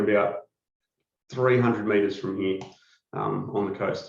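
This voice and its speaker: The speaker has an Australian accent and fairly even intonation. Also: man. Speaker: company executive presenting a product. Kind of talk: webinar product presentation. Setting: webcast.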